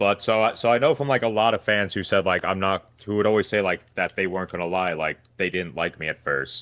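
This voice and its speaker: Here a man with an American accent talks at a fairly quick pace with hardly any pauses. His pitch is fairly low, with ordinary variation. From Pennsylvania. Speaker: reality show contestant. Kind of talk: casual interview. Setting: call.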